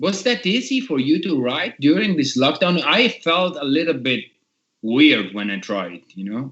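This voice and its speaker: A man with an Italian accent talks at a fairly slow pace, his fairly high pitch swinging very widely and catching in vocal fry. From Italy. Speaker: podcast host, metal musician. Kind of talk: casual video podcast interview. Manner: halting.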